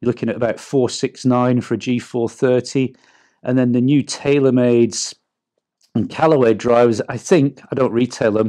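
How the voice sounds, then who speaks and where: A man with an English accent speaks at a medium pitch and a moderate pace, in a dark, mellow tone with fairly even intonation. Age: 50s. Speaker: golf coach. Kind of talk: product review.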